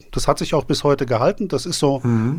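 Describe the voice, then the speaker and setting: In a very clean recording with a silent background, a man speaks with a Hessian accent. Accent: Hessian German accent, noticeable in Vienna. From Germany, Frankfurt am Main. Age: 50s. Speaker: beer video blogger and beer sommelier. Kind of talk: casual chat.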